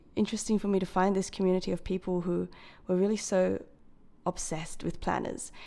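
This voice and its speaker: A woman with an Australian accent speaks at a fairly quick pace, her medium-pitched voice dark and mellow with fairly even intonation. The recording is very clean, with a silent background. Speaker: planner hobbyist vlogger. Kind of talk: casual chat. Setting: talking to a camera alone. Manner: hesitant, many fillers.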